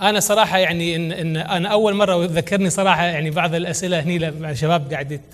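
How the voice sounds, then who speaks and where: At a moderate pace, the delivery carries fairly even intonation. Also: man. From Kuwait. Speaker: entrepreneur and children's author; guest. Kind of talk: conference talk. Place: hall. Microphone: lapel.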